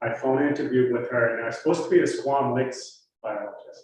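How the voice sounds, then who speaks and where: A man with a Massachusetts accent at a fairly quick pace, with audible room echo. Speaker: wildlife biologist. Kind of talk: public talk.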